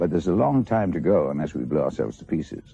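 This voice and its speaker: The speaker talks at a fairly quick pace in a dark, mellow tone with vocal fry. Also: man. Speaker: actor. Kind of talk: interview answer. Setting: television studio.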